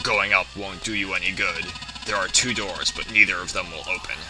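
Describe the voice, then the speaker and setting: Over loud background noise, a man with a fairly low pitch does a put-on character voice at a fairly quick pace. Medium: solo performance. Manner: calm, composed.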